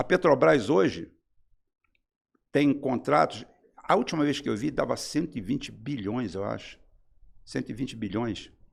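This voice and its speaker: A man talks fairly slowly in a medium pitch, with vocal fry and lively intonation. Long pauses come often between his words. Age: 60s. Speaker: political commentator. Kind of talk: heated debate. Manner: animated.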